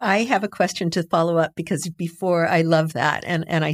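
A woman talks at a moderate pace in a normal speaking voice that sits fairly low in pitch. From US-Mexico borderlands. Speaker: criminal defense lawyer. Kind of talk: interview.

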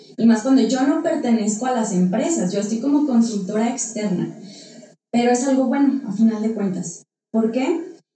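A woman speaks at a moderate pace with a fairly high pitch, ordinary pitch variation and a dark, mellow tone. Audible room echo fills the recording. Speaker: psychologist and business consultant. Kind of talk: interview. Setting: studio.

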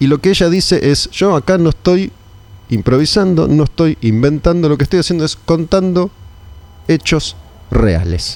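A man speaks at a fairly high pitch with lively intonation. His is an unremarkable speaking voice. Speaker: metal radio show host. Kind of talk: casual interview chat.

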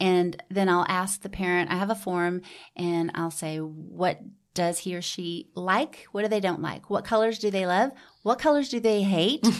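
Speaking with a Texan accent, a woman uses ordinary pitch variation. The recording is very clean with a silent background. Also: medium pitch for a woman, moderate pace. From Houston, Texas. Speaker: nonprofit founder. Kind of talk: interview. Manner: animated.

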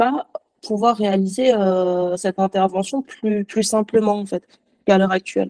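A woman speaks at a moderate pace with medium pitch and ordinary pitch variation. The sound is dry and close, with no echo. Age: 20s. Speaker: accountant sharing personal medical story. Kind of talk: testimony. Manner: halting.

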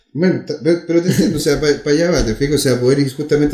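A man's fairly quick speech keeps fairly even intonation, with noticeable background noise around it. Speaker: podcast host. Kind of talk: casual interview.

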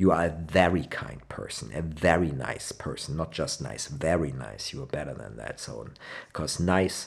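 In a Rhineland accent, a man speaks at a moderate pace with a very deep, low pitch, vocal fry and ordinary pitch variation. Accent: Rhenish German accent in English. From Germany, Cologne. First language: German. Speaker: language podcast host. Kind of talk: casual language lesson. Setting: home living room.

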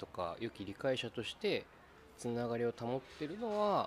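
At a fairly slow pace, a man speaks in an unremarkable speaking voice with medium pitch and ordinary pitch variation. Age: 30s. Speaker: podcast host. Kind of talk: casual chat.

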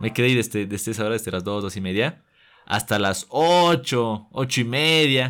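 A medium-pitched man at a moderate pace with lively intonation, in a very clean recording with a silent background. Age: 20s. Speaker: young filmmaker and actor. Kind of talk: interview. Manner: halting, frequent word repetitions.

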